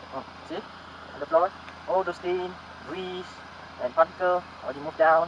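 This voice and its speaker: A man talks at a fairly quick pace in a high, monotone voice, with big swings in loudness and long, frequent pauses. Noticeable background noise runs behind him. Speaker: motovlogger. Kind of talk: tutorial.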